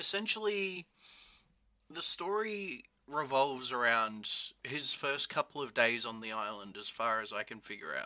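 On a very clean recording with a silent background, a man with a fairly high voice speaks at a fairly slow pace, his pitch swinging very widely and his loudness shifting a lot. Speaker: guest co-host. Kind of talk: casual chat.

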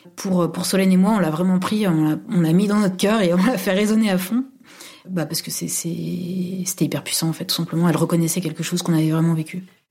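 Over noticeable background noise, a woman with a fairly low pitch talks at a fairly quick pace with fairly even intonation. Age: 30s. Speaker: university administrator. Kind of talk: personal testimony. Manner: halting, many fillers.

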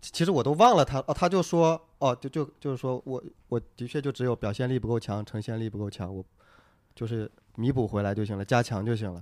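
A man's plain, everyday voice, medium in pitch and fairly quick, on a very clean recording with a silent background. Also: lively intonation, dry, close sound with no echo. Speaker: stand-up comedian. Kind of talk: casual chat about comedy.

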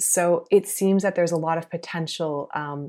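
In a very clean recording with a silent background, a woman speaks at a moderate pace with an American accent. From US South, South Carolina. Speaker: medical doctor. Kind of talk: interview.

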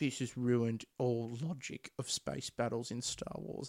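At a moderate pace, a man puts on a whiny character voice at a medium pitch. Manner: complaining.

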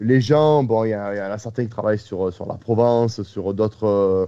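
The tone is dark and mellow, and the delivery moves at a fairly slow pace. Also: man. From Marseille, southern France. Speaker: football podcast host. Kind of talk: casual chat.

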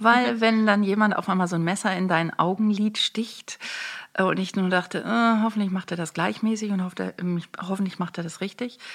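At a moderate pace, a woman speaks in a normal speaking voice of medium pitch with ordinary pitch variation. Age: 50s. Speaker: make-up artist and beauty coach. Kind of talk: casual interview.

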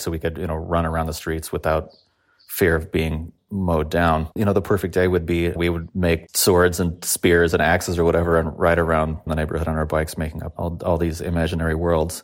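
With a Californian accent, a man with a very deep, low pitch rattles along at a very fast pace in a flat monotone. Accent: Californian American. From Los Angeles, San Fernando Valley. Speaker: musician. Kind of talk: interview. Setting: home, remote recording.

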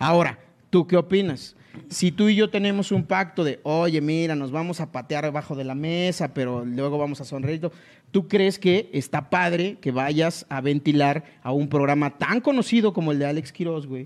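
A man talks at a moderate pace in a plain, everyday voice, pitched fairly high with ordinary variation. The background is quiet. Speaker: comedy podcast host. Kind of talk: comedic casual chat.

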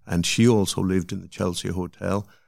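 A man with a very deep, low voice speaks at a moderate pace in a very clean recording with a silent background. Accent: Cork. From Cork, Ireland. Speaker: artist's brother. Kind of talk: interview storytelling.

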